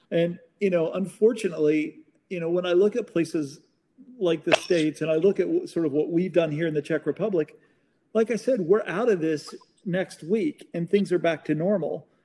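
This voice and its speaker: With an American accent, a man speaks at a high pitch in a dark, mellow tone, using ordinary pitch variation. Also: moderate pace. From Oklahoma. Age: 40s. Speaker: magazine owner. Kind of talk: casual interview. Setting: call.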